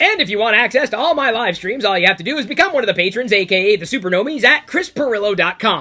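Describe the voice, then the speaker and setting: Very fast and raised to project, a robotic, fairly high put-on character voice rattles along. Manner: mechanical.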